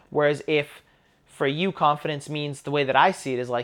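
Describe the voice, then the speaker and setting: In a very clean recording with a silent background, a man with a Canadian accent talks at a fairly quick pace. He has a normal speaking voice and a fairly high pitch. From Canada. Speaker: podcast co-host. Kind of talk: casual conversation podcast.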